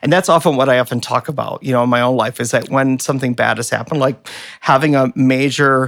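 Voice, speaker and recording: With a plain, everyday voice, a man of medium pitch speaks in an American accent with fairly even intonation, in a very clean recording with a silent background. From Michigan, US (Flint). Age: 50s. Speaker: artist. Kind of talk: casual chat. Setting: office.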